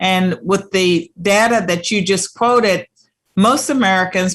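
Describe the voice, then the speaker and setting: A woman speaks in an unremarkable speaking voice at a medium pitch with ordinary pitch variation. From Virginia, US South. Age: 60s. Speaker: talk show host. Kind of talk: interview.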